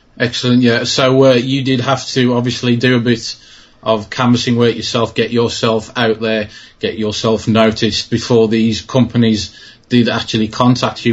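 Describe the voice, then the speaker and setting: Speaking with a British accent, a man keeps a medium pitch and moderate pace in a monotone, flat intonation. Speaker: trading card channel host. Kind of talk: interview.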